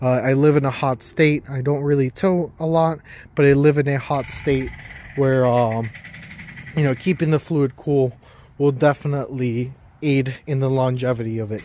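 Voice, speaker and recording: Over light background noise, a man with a dark, mellow tone talks at a moderate pace with fairly even intonation, the sound dry with no echo. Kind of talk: casual vlog chat. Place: street. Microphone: phone near.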